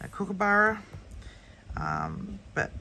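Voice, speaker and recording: Her tone bright and sharp, a woman speaks with vocal fry. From Australia. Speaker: colouring channel host. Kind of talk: casual book flip-through. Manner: hesitant, many ums.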